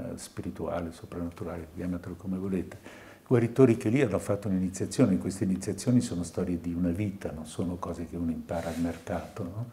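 Speaking at a very fast pace, a man uses a very deep, low pitch and a dark, mellow, somewhat breathy tone with ordinary pitch variation. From Tuscany, Italy. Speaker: psychiatrist; lecturer. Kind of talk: lecture. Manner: halting. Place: hall. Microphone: podium.

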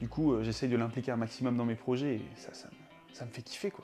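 With clear music playing in the background, a man talks at a fairly quick pace. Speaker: comedy youtuber. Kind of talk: mock documentary interview answer. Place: home room.

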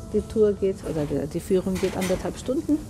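A woman talks while clear music plays in the background. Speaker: travel vlogger. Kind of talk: casual vlog chat. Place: boat. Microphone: phone near.

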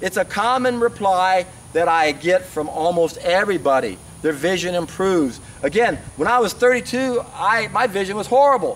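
A man speaks with a high pitch. His tone is fairly bright. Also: ordinary pitch variation, moderate pace.

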